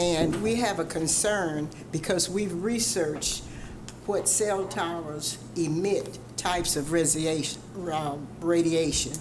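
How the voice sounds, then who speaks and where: A woman speaks at a fairly slow pace with a fairly low pitch and ordinary pitch variation. Her loudness stays very even, with audible room echo and noticeable background noise. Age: 70s. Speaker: resident speaking at public hearing. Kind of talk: public comment at council meeting. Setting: city council chamber.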